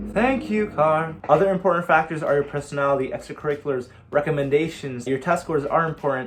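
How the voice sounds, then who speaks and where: Somewhat breathy, a man talks at a very fast pace with hardly any pauses. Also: fairly high pitch for a man, ordinary pitch variation. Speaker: college student YouTuber. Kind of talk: casual Q&A vlog.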